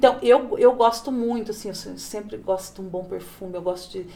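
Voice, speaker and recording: Her pitch rises and falls in a typical way. The speaker is a woman. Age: 40s. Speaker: manicure and plus-size model. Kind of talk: casual interview. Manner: animated.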